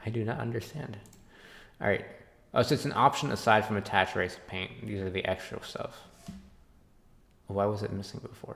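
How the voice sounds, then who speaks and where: Soft-spoken and mumbling, a man talks at a fairly quick pace with long, frequent pauses. His pitch is fairly low, with ordinary pitch variation. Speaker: game developer streamer. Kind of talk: live stream commentary. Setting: live stream.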